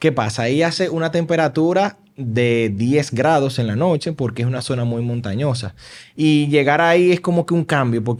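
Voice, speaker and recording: A man talks in a fairly high voice. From Dominican Republic. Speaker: travel podcast host. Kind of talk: casual chat, travel storytelling. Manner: animated.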